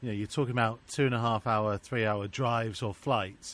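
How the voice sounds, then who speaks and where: A man with an ordinary speaking voice, medium pitch, and fairly even intonation. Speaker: club commentator. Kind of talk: casual interview.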